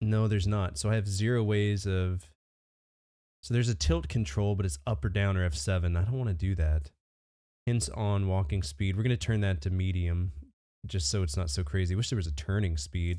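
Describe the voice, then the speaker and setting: Recorded very cleanly against a silent background, a man with a very deep, low pitch and a dark, mellow tone talks at a fairly quick pace, with very even loudness and ordinary pitch variation. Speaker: game streamer. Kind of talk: live gameplay commentary. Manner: casual, swears a lot, chatty. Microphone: new mic settings and equalizer plugins, Shure SM7B.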